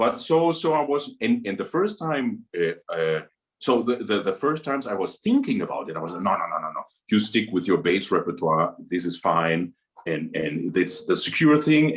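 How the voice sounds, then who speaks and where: A man talks at a moderate pace in a German accent. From Germany. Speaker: opera singer. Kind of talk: interview. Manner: halting.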